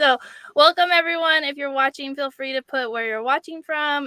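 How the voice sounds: A woman with a high pitch speaks in a bright, sharp, clear, smooth tone with ordinary pitch variation, the sound dry and close with no echo.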